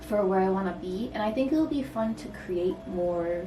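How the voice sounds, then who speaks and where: Noticeable background noise accompanies a woman with an American accent speaking at a moderate pace. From Michigan. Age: 20s. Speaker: artist, poet, photographer. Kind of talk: casual vlog talk to camera. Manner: casual, rambling.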